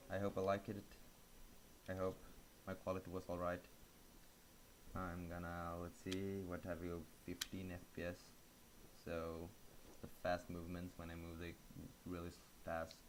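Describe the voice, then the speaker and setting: The speaker mumbles at a moderate pace in a flat monotone, with long, frequent pauses. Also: man, very deep, low pitch for a man. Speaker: gaming video host. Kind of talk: casual commentary. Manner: mumbling; quiet.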